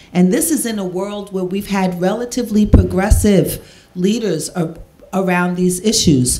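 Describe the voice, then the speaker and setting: Noticeable background noise and audible room echo surround the recording. A woman speaks at a moderate pace. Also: medium pitch for a woman, ordinary pitch variation. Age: 60s. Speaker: drug policy activist. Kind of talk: Q&A panel answer.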